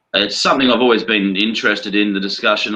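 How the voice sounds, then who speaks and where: Bright, sharp-toned speech from a man at a fairly quick pace, with a slight Australian accent. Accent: Australian, subtle. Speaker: atheist panelist. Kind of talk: panel discussion.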